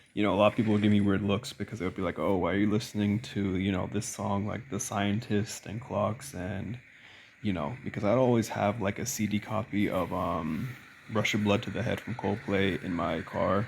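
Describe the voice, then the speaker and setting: The speaker is a man with fairly even intonation. He goes at a fairly quick pace. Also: fairly low pitch for a man. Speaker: YouTuber. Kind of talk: casual rant. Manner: casual, filler-heavy.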